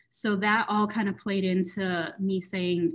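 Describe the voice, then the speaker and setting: A woman with an American accent talks in a normal speaking voice at a medium pitch, with fairly even intonation and a moderate pace. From West Michigan, US. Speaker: marketing coordinator. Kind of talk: interview.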